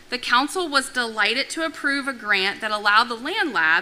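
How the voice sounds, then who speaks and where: Over noticeable background noise, a woman speaks loudly at a moderate pace with ordinary pitch variation. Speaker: agricultural council president. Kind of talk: prepared remarks.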